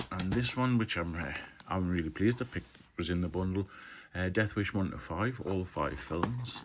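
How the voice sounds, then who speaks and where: A man with a very deep, low voice, ordinary pitch variation and a Geordie accent. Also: moderate pace. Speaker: film collector, video blogger. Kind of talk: casual haul video monologue. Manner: casual, hesitant with fillers.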